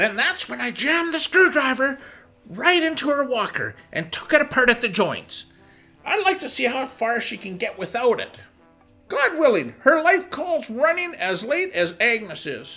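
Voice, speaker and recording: A female-sounding voice speaks at a moderate pace while faint music plays in the background. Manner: smug, rambling, gleeful.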